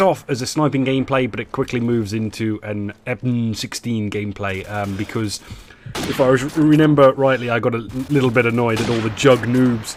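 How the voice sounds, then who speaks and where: A man with an English accent and ordinary pitch variation, over noticeable background noise. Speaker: gaming YouTuber. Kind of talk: gameplay commentary. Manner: halting, many fillers.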